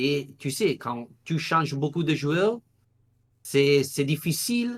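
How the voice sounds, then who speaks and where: At a very slow pace, a man talks in a fairly high pitch with lively intonation. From Italy. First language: Italian (speaking French). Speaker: football journalist. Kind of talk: podcast interview. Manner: halting, searching for words.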